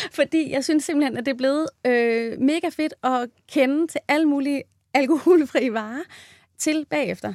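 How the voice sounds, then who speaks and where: In a very clean recording with a silent background, a woman speaks at a high pitch with ordinary pitch variation, the sound dry and close with no echo. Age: 30s. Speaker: midwife. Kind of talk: interview.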